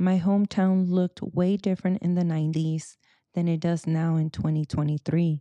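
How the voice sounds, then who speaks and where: In a dry, close recording with no echo and a quiet background, a woman with a fairly low pitch and a dark, mellow tone speaks at a moderate pace in a monotone, flat intonation. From US West Coast, Silicon Valley, Mexican-American. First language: Spanish. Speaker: podcast host. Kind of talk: personal monologue.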